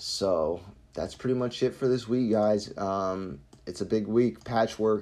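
His pitch shows ordinary variation. The man talks with an American accent. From Florida. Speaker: sneaker and streetwear podcast host. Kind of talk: solo podcast monologue. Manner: casual, many fillers.

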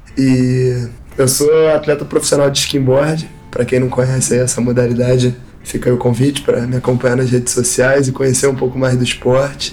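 The voice keeps a moderate pace with monotone, flat intonation. Its loudness is very even, and there is noticeable background noise. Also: man, medium pitch for a man. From Rio de Janeiro, Brazil. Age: 20s. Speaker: professional skimboard athlete. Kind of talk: interview testimony.

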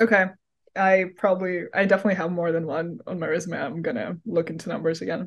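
Speaking very fast with a Russian accent, a woman keeps a fairly low pitch and ordinary pitch variation. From Russia, Moscow. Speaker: university student, finance job candidate. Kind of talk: mock job interview. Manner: halting, many fillers.

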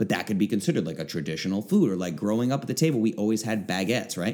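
Speaking very fast, a man uses an animated tone with very wide pitch swings. His pitch is fairly low. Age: 30s. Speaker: health coach and podcast host. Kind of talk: live-stream Q&A. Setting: Facebook Live stream.

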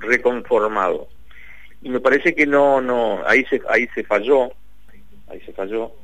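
A man speaking at a fairly slow pace. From Paraná, Entre Ríos, Argentina. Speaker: investigative journalist. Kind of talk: radio interview.

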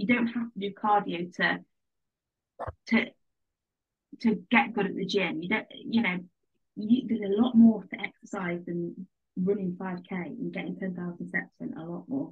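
A woman's medium-pitched voice in an English accent, at a moderate pace with long, frequent pauses. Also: ordinary pitch variation, big swings in loudness. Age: 20s. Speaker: nutrition coaching client. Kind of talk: casual interview.

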